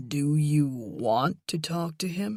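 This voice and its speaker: The pitch sits in the middle range. The speaker uses a put-on character voice. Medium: read story. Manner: sarcastic.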